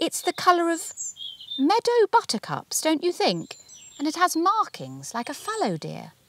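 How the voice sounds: A woman puts on a character voice at an extremely high pitch, with very wide pitch swings and a fairly slow pace, in a dry, close sound with no echo.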